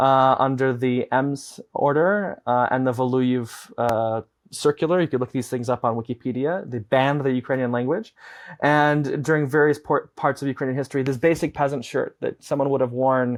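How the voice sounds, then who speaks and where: A man with a Chicago accent, medium pitch and moderate pace, in a dry, close sound with no echo. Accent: American Midwest (Chicago). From Chicago, US Midwest. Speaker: advocacy director and former radio journalist. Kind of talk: interview. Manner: frequent fillers and restarts.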